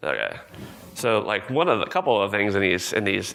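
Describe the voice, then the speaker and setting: A man has an ordinary speaking voice, fairly low in pitch, with ordinary pitch variation. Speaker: conference speaker, product manager. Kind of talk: conference talk with demo. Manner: casual with many fillers.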